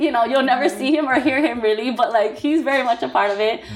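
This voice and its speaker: A woman talks very fast in a high pitch with ordinary pitch variation over noticeable background noise. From Hawaii, Nanakuli (Oahu). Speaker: small business owner, clothing designer. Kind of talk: casual interview.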